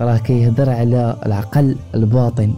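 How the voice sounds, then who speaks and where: Music plays in the background as a man talks. His medium-pitched voice moves at a fairly slow pace. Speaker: book summary narrator. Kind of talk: book summary narration. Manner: calm.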